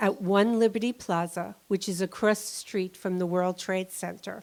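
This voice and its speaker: This woman has a New York accent and a medium pitch. She talks at a moderate pace with ordinary pitch variation. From New York City. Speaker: storyteller, 9/11 survivor. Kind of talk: live storytelling on stage.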